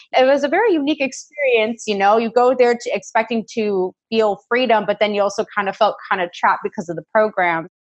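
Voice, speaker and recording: A woman with an American accent speaks at a fairly high pitch, using a normal speaking voice and ordinary pitch variation. Her pace is fairly quick, with hardly any pauses. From United States. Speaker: podcast host. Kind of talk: casual chat.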